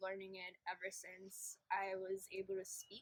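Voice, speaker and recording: A woman talks at a fairly slow pace with a medium pitch. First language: Polish. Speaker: interviewee. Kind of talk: interview.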